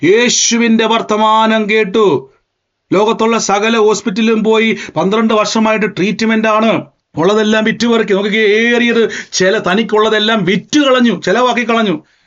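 A man speaks at a high pitch with very even loudness. His intonation is monotone and flat. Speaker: preacher. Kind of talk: sermon.

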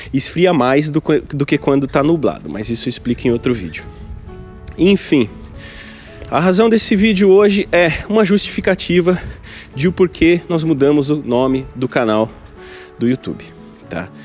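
Music plays behind a man who talks at a moderate pace with lively intonation and long, frequent pauses. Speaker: travel vlogger. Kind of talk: casual vlog chat. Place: waterside. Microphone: phone near.

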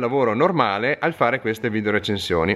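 A man talking at a very fast pace with vocal fry. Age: 30s. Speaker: fishing tackle shop owner. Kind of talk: direct-to-camera video appeal. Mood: earnest, friendly. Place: shop. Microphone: phone near.

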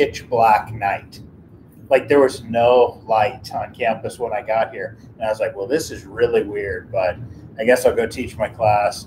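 There is light background noise. A man speaks at a fairly slow pace. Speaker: math professor. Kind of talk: lecture. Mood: chatty, amused. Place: classroom. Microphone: camera far.

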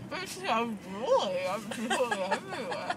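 A woman's voice at a moderate pace, dry with no echo, with crowd noise in the background. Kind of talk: casual chat. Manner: drooling, numb, slurred speech. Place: car. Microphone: phone near.

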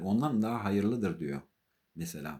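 A man with a fairly low voice, a dark, mellow tone, a slight non-native accent and lively intonation. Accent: slightly non-native Turkish. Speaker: artist and religious vlogger. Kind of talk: religious talk to camera. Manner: halting, with many fillers.

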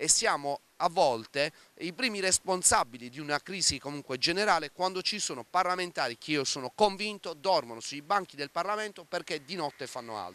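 A man's bright, sharp tone with lively intonation. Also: dry sound with no echo. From Bari, southern Italy; Italy. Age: 30s. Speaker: city councillor; local politician. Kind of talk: interview. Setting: outdoors on the seafront. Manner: hesitant, frequent filler 'eh'. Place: waterside. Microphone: handheld.

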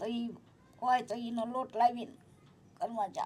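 Pitched fairly high, a woman with an unremarkable speaking voice talks with fairly even intonation. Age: 60s. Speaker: elderly woman receiving charity aid. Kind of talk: testimony.

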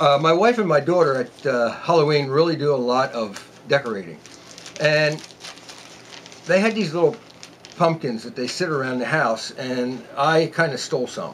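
Light background noise sits behind a man speaking at a moderate pace. His intonation is lively, and he leaves long, frequent pauses. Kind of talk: tutorial. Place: workshop.

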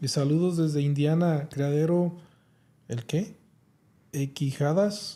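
His voice has a dark, mellow tone and a fairly high pitch with ordinary variation. The man speaks very slowly, with long, frequent pauses. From Mexico, Guanajuato. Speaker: livestream podcast host. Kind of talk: casual chat. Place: studio. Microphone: studio mic.

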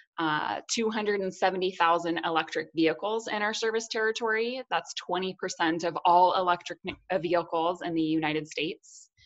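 A woman's fairly low voice with ordinary pitch variation over a quiet background. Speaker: presenter. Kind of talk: webinar presentation. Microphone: webcam.

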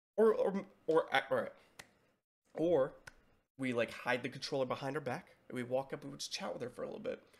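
A man is speaking. His pace is fairly quick. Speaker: streamer. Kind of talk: casual reaction commentary. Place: home room.

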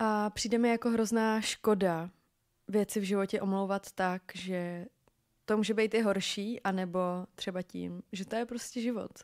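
A woman speaks at medium pitch in a monotone, flat intonation and at a fairly slow pace. The recording is very clean, with a silent background and a dry, close sound with no echo. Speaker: podcast host. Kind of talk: solo podcast monologue. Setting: home. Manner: halting, frequent fillers.

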